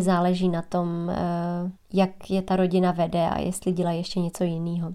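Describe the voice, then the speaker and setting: A woman's voice at medium pitch has a dark, mellow tone and a fairly slow pace. The recording is very clean with a silent background. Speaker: golf coach and podcast host. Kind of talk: solo podcast monologue.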